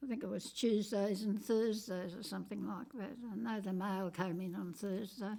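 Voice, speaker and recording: In an Australian accent, a woman speaks at a medium pitch with a dark, mellow tone. She barely pauses. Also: ordinary pitch variation, moderate pace. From Western Australia. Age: 80s+. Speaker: interviewee. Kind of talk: oral history interview. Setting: at her home.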